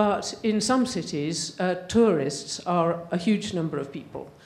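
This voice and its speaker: A woman speaks with an English accent. Audible room echo is present. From England. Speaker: audience member asking a question. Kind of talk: audience question at a panel.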